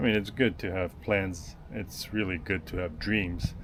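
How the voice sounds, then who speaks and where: Intonation is fairly even throughout. Delivery comes at a fairly slow pace. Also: man. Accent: slight French. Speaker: boat builder and video maker. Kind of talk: casual vlog talk to camera. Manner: hesitant, many fillers.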